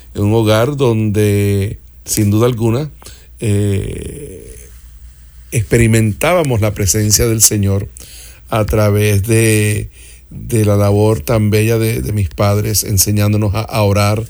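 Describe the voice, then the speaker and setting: A man's fairly low voice, very slow, dark and mellow in tone, with ordinary pitch variation. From Puerto Rico and Miami. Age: 50s. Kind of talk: interview conversation. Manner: halting, repeats words.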